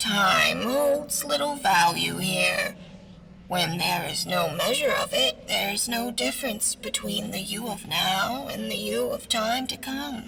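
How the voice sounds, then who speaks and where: A put-on character voice at a fairly slow pace, over clear background noise. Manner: hissing.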